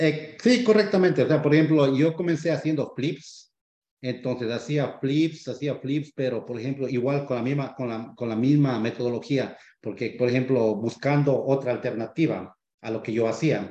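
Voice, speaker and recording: A man at a moderate pace and medium pitch, with ordinary pitch variation and an ordinary speaking voice. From Ecuador. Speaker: real estate investor, former HVAC technician. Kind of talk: podcast interview.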